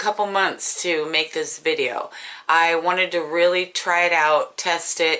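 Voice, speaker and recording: A woman with an American accent speaks in an unremarkable speaking voice at a moderate pace and medium pitch. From California. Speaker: beauty vlogger. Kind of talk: casual talk to camera.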